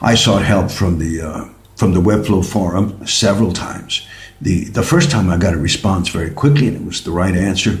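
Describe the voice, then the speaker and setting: A man speaks with a very deep, low voice. The room echo is audible. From Mexico. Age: 60s. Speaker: tango teacher and vlogger. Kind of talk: product review vlog. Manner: halting, repeats words.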